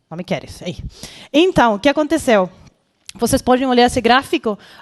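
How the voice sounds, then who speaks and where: A woman with a Spanish accent speaks at a high pitch. Her pace is fairly quick against a quiet background. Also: dry, close sound with no echo. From Chile. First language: Spanish (speaking Portuguese). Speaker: conference speaker, healthcare product professional. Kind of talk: conference talk. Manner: halting, many fillers and self-corrections.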